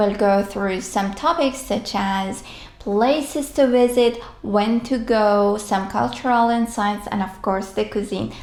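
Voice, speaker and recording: This voice moves at a fairly slow pace with ordinary pitch variation, over noticeable background noise. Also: woman, medium pitch for a woman. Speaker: language teacher. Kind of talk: travel guide narration. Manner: upbeat.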